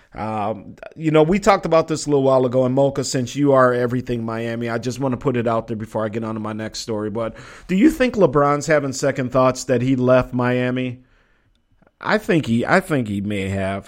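Here a man with an American accent talks at a fairly quick pace. He has a normal speaking voice at medium pitch. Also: ordinary pitch variation. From Minnesota. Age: 40s. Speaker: sports talk radio host. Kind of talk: casual live sports talk show.

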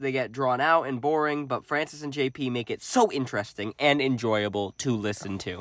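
A read-aloud passage in a natural voice, pitch varying in an ordinary way

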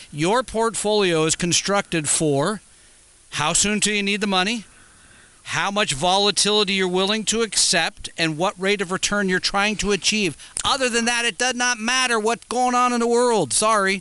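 A man speaks in a high pitch with a raised, projected voice and a bright, sharp tone. His loudness stays very even at a moderate pace. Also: ordinary pitch variation. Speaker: financial radio co-host. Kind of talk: call-in radio show. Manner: energetic, like a top 40 disc jockey.

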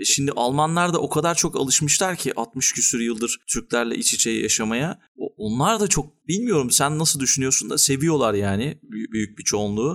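A man with a fairly high pitch and a plain, everyday voice speaks at a moderate pace with hardly any pauses. His intonation is lively while his loudness stays very even. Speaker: podcast host. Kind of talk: casual interview chat.

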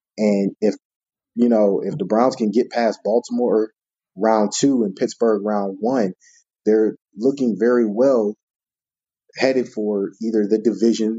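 This man's voice is fairly low in pitch with fairly even intonation. He speaks at a fairly slow pace. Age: 30s. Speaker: sports writer. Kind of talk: casual chat.

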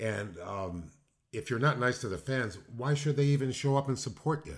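His voice sits at a medium pitch and is somewhat breathy. The man talks with an American accent. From Illinois, Chicago area. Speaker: retired pro wrestler and poet. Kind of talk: casual interview chat.

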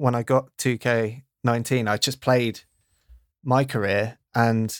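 A man with a British accent speaks in a flat monotone on a very clean recording with a silent background. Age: 30s. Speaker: podcast producer. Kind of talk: casual chat.

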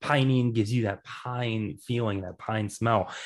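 A man with an American accent and an unremarkable speaking voice, medium pitch, fairly even intonation and a moderate pace against a quiet background. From Kansas City, US Midwest. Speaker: cannabis podcaster guest. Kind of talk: casual interview.

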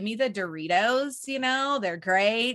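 Over a quiet background, a woman with a fairly high pitch speaks with lively intonation. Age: 40s. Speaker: network marketing entrepreneur and podcast host. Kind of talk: casual interview chat.

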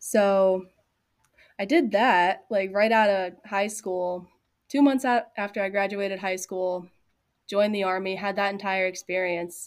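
On a very clean recording with a silent background, a woman speaks at medium pitch in an ordinary speaking voice. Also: fairly even intonation. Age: 20s. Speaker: artist and small business owner. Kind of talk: casual chat.

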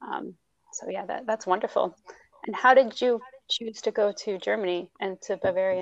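A woman with an American accent talks at a moderate pace, her loudness swinging widely, in a dry, close sound with no echo. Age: 30s. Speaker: podcast host, language teacher. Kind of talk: interview.

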